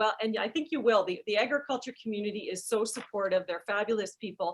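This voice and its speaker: A woman talks at a very fast pace with an Alberta accent. Her voice is fairly high, with ordinary pitch variation. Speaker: charity CEO, moderator. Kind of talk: webinar moderation.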